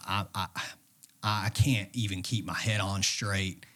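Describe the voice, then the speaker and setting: A man's fairly low voice with a bright, sharp tone and an East Tennessee accent, at a very slow pace. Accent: East Tennessee Southern US. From US South, Knoxville, Tennessee. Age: 20s. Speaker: bodybuilder. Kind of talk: casual chat.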